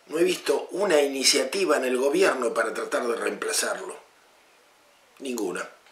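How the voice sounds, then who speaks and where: Here a man speaks at a moderate pace with long, frequent pauses. Audible room echo and noticeable background noise fill the recording. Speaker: political commentator. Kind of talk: political commentary monologue. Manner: impassioned, rhetorical questions.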